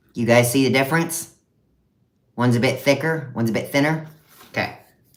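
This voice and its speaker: A man talks fairly quickly, and audible room echo follows his words. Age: 30s. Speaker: content creator. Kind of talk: live stream unboxing. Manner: casual.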